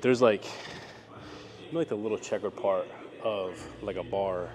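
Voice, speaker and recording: Noticeable background noise accompanies a man speaking in a fairly low pitch. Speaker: fitness vlogger. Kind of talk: tutorial. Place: gym. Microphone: lapel.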